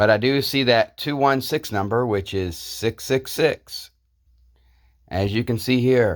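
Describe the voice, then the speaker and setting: On a very clean recording with a silent background, a man with a medium-pitched voice talks very slowly with lively intonation. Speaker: YouTuber. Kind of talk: casual monologue.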